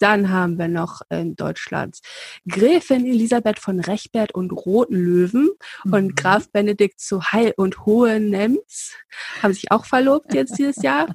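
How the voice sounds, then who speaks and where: Somewhat breathy and medium in pitch, a woman speaks at a fairly slow pace in a dry, close sound with no echo. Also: lively intonation. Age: 30s. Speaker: royalty expert, podcast co-host. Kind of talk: casual chat.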